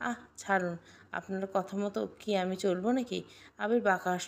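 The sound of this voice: The clip features an unforced reading voice. It continues in the same manner throughout.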